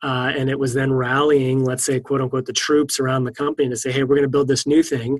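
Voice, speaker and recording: At a fairly quick pace, a man with an American accent talks at medium pitch. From US East Coast. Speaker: software engineering manager. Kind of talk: interview. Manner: hesitant with frequent fillers.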